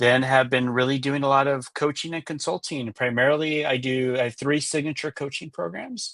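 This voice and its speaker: Against a quiet background, a man with a Californian accent talks at a fairly quick pace in a fairly high pitch. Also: ordinary pitch variation. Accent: Californian American English. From US West Coast, Los Angeles. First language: Spanish. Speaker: executive coach and author. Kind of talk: interview on a live webinar.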